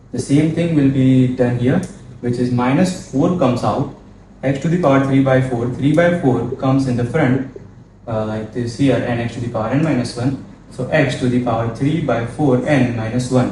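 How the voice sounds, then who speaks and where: A man at medium pitch speaks at a moderate pace with fairly even intonation. Audible room echo and noticeable background noise surround him. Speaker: maths tutor. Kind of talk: tutorial.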